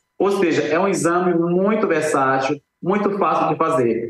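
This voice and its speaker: A man's voice with ordinary pitch variation. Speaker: eye doctor (ophthalmologist). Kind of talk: promotional explanation on TV. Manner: warm, enthusiastic.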